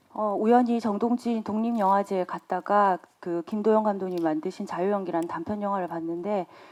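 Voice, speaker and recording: A woman in a plain, everyday voice, at a moderate pace with hardly any pauses and ordinary pitch variation. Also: medium pitch for a woman. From Gyeongsang region, South Korea. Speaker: film director. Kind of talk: press conference Q&A.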